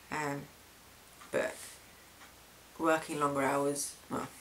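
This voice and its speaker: The speech has a British accent and monotone, flat intonation. Noticeable background noise runs underneath. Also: man. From UK. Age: young. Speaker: vlogger. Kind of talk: video diary. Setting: home camera recording. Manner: hesitant, many fillers.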